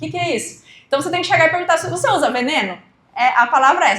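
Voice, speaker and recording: The speaker goes at a very fast pace with lively intonation, and audible room echo surrounds the voice. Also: woman. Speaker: entrepreneur and project writer for family farmers. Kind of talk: educational talk.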